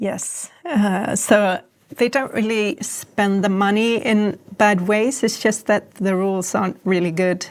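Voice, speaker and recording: This woman talks at a fairly slow pace in a Swedish accent. Her pitch is medium for a woman, with ordinary variation. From Sweden. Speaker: author and former political advisor. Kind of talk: interview.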